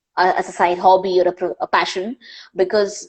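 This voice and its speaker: A woman speaks with an Indian accent. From India, Panvel near Mumbai. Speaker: wildlife filmmaker and presenter. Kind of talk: live Q&A interview.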